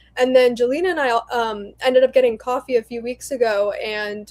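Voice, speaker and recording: A woman's high-pitched voice at a fairly quick pace. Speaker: company president. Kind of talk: casual interview. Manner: fast; energetic.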